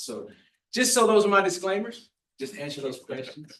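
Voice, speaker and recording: Here is a man with a normal speaking voice. He talks fairly quickly with lively intonation. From US South (New Orleans, South Florida). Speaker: pastor, charity officer. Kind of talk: public talk at board meeting.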